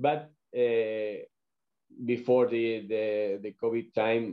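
Speaking at a very slow pace, a man with a medium-pitched voice talks in a Spanish accent. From Valladolid, Spain. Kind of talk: interview, casual chat. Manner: halting.

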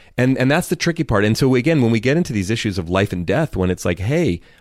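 A man at a medium pitch. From US West Coast, Oakland, California. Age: 40s. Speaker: author and speaker. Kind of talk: interview.

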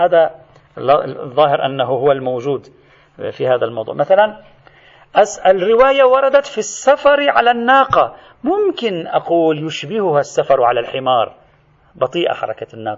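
A man with a high pitch speaks with very wide pitch swings and long, frequent pauses. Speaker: religious scholar teaching a seminary course. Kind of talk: lecture. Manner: animated.

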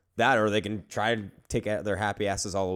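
This man speaks very fast. The background is silent and the recording very clean. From Puerto Rican heritage. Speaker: podcast co-host. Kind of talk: casual chat; news reading.

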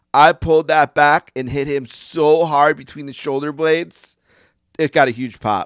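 A man with a normal speaking voice talks at a moderate pace, his pitch fairly high and his intonation fairly even, with big swings in loudness. The recording is very clean, with a silent background and a dry, close sound with no echo. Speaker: podcast host. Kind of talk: casual chat.

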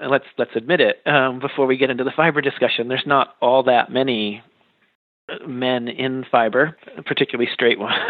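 At a fairly quick pace, an unremarkable speaking voice with an American accent keeps to fairly even intonation. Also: man, medium pitch for a man. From Western Massachusetts. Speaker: artist and art educator. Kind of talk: interview.

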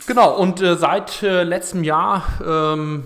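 A man speaks at a very slow pace. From northern Germany, Kiel. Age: 40s. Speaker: energy startup managing director. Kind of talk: casual interview. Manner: hesitant, many filler sounds.

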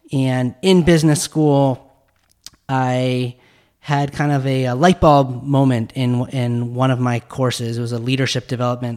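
A man's medium-pitched voice with an American accent, fairly even intonation and a fairly slow pace. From US West, Utah. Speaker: podcast host and startup founder. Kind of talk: interview conversation. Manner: halting, many fillers and repeats.

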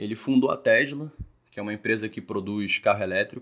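A man's moderate pace with fairly even intonation. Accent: Rio de Janeiro. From Rio de Janeiro, Brazil. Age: 20s. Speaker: podcast host. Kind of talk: solo commentary podcast.

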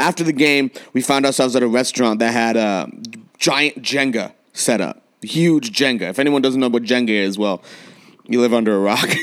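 A man at a medium pitch with an American accent, a plain, everyday voice, ordinary pitch variation and a moderate pace. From San Diego, California. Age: 20s. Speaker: podcast host and coach. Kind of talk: casual chat. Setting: remote recording at separate locations.

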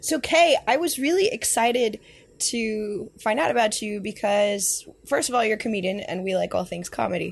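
A somewhat breathy woman's voice, fairly high in pitch, with lively intonation and a moderate pace. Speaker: podcast co-host and writer. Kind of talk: casual interview.

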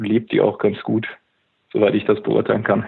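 A man talks at a moderate pace. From Upper Bavaria. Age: 20s. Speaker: gym franchise owner. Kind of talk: interview. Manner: hesitant, many fillers.

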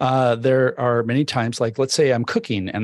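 Against a quiet background, a man speaks at a medium pitch and moderate pace in a plain, everyday voice. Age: 50s. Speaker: tech book author. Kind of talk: interview with live audience Q&A. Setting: live video stream.

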